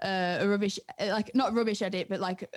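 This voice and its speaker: This is a woman talking. Her pitch is medium. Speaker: music producer and DJ. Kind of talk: casual podcast interview.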